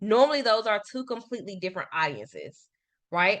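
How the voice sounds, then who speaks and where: In a Memphis accent, a woman talks with lively intonation and a bright, sharp tone. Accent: Southern US (Memphis). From US South, Memphis. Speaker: marketing consultant. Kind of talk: business workshop presentation. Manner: fast.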